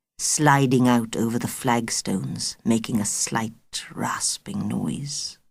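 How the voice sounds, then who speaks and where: A woman with a very deep, low pitch and vocal fry speaks at a very slow pace with lively intonation. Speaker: audiobook narrator. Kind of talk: audiobook narration of a children's novel. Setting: studio.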